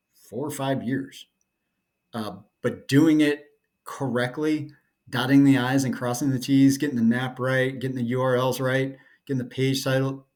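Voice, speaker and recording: In an American accent, a man of medium pitch talks at a moderate pace with long, frequent pauses. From North Carolina, US South. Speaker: SEO consultant. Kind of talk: tutorial. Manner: monotone; casual, with fillers.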